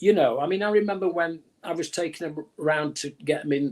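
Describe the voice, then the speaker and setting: A man with a Manchester accent talks at a fairly quick pace. His pitch is fairly high, with ordinary pitch variation. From northern England, Manchester. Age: 70s. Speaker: music executive. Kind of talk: casual interview. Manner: halting, repeats words.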